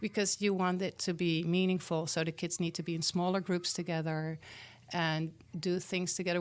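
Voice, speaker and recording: A woman's fairly low voice with a Dutch accent at a moderate pace, on a very clean recording with a silent background. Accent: Dutch accent, kept on purpose. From Netherlands. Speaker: community organizer, school program founder. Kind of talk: interview.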